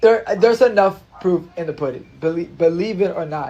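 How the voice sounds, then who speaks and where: A man speaks at a moderate pace with a slight Spanish accent. His voice sits high in pitch, with ordinary pitch variation. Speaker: social media influencer. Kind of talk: casual livestream chat. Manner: repetitive, stammering.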